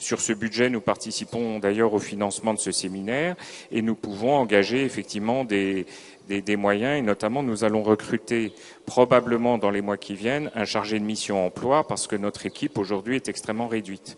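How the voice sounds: Fairly low in pitch, a man talks at a fairly quick pace with fairly even intonation.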